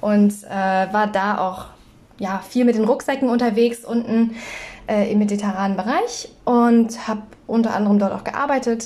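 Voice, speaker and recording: Over noticeable background noise, a woman speaks at a fairly high pitch and moderate pace with fairly even intonation. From northern Germany, North Frisia. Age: 20s. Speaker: podcast co-host. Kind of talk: casual chat.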